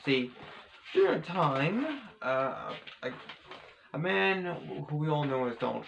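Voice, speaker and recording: Against noticeable background noise, a man speaks with a fairly high pitch and lively intonation. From Australia. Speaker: vlogger. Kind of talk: casual vlog monologue. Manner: halting, many repetitions and fillers.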